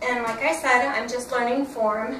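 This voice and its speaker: A woman's high-pitched voice at a fairly slow pace, with audible room echo and noticeable background noise. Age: 50s. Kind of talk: workout tutorial. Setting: home workout room. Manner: loud when excited; casual, halting.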